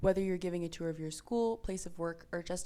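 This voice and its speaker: Speaking fairly quickly, a woman lets her pitch rise and fall in an ordinary way. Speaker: university student tour guide. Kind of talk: tutorial. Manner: fast.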